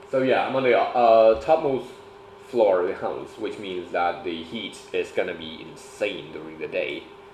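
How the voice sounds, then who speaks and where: Here a man speaks at a moderate pace. There is noticeable background noise and audible room echo. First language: Thai. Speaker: streamer. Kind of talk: homework livestream. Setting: home livestream, top floor room. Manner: casual, halting.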